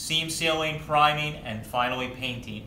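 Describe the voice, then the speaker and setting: Audible room echo and light background noise surround a man speaking with ordinary pitch variation. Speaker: car restoration host. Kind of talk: tutorial wrap-up. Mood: relaxed, friendly. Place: workshop.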